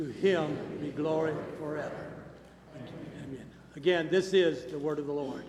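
Amid noticeable background noise, a man speaks at a moderate pace with fairly even intonation, big swings in loudness and long, frequent pauses. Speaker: worship leader or church announcer. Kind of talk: welcome and announcements, scripture reading. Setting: church.

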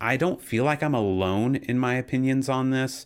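Here a man talks with ordinary pitch variation. It is a normal speaking voice. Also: very clean recording, silent background. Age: 30s. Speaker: worship pastor. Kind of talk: casual chat.

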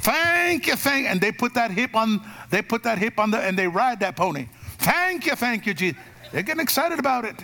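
Raised and projected, a man with an American accent speaks in an animated tone at a fairly quick pace, his extremely high pitch making very wide swings. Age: 50s. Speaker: pastor. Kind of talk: Pentecostal-style live church sermon, call-and-response with congregation. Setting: church service with live congregation. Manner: animated, folksy and rhythmic, punchy repeated exhortations; emphatic, drives for amens.

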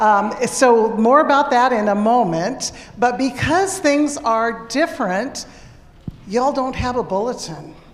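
A woman speaks slowly-ish, at a fairly slow pace, her high voice carrying lively intonation over noticeable background noise. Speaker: pastor. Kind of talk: worship service announcements. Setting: church. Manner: casual.

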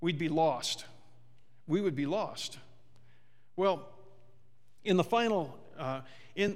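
There is audible room echo as a man with a high voice speaks using lively intonation. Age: 50s. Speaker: pastor. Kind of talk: sermon. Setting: church.

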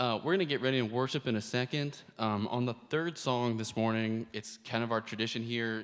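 In a normal speaking voice, a man talks fairly quickly with hardly any pauses. His pitch is medium and his intonation fairly even. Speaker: church host. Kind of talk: church announcements. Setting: church.

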